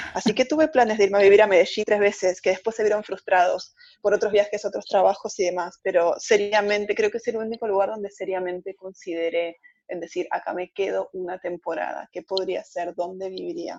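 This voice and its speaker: With an Argentine accent, a woman speaks at a fairly quick pace and ordinary pitch variation. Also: medium pitch for a woman. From Argentina. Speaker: travel blogger. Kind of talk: casual interview.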